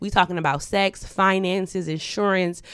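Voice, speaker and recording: A woman with an unremarkable speaking voice talks at a moderate pace and medium pitch, with fairly even intonation. The recording is very clean, the background silent. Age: 30s. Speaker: podcast co-host. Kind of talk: casual chat.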